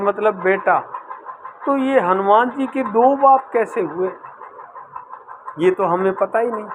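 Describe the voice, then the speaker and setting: Through noticeable background noise, a man with a high pitch and ordinary pitch variation speaks with long, frequent pauses. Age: 60s. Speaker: devotional singer and storyteller. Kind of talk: religious storytelling talk; channel promotion talk.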